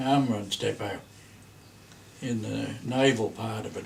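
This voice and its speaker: This man has an Australian accent and a medium pitch. He talks at a fairly slow pace with monotone, flat intonation. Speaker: grandparent telling family history. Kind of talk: oral history reminiscence. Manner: halting.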